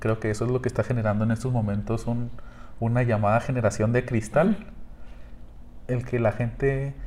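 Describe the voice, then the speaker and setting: Speaking at a moderate pace, a man has a dark, mellow tone at a medium pitch. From Mexico. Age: 20s. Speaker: podcast host. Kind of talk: casual chat.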